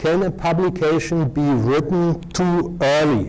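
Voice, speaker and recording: A man speaks at a very slow pace. Audible room echo fills the recording. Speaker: professor and journal editor. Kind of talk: lecture. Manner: halting, many filler sounds.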